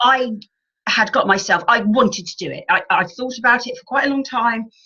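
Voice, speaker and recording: A woman speaks at a moderate pace in a high pitch. Her voice is raised and projected. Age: 60s. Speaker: health and wellness coach. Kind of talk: podcast interview. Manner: halting, many fillers and restarts.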